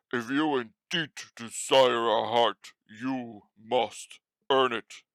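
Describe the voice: A man puts on a gruff character voice, speaking very slowly in a medium pitch.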